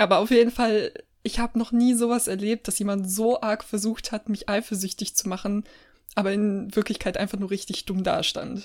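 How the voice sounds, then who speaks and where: At a moderate pace with long, frequent pauses, a woman speaks at a medium pitch and with fairly even intonation. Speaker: podcast co-host. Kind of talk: casual chat.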